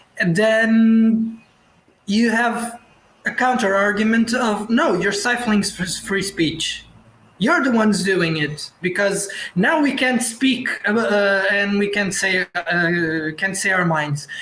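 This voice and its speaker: With a Portuguese accent, a man speaks very slowly in a high pitch and a bright, sharp tone, keeping his loudness very even and his pitch variation ordinary. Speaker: actor and director. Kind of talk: online panel discussion. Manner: halting, many repetitions and restarts.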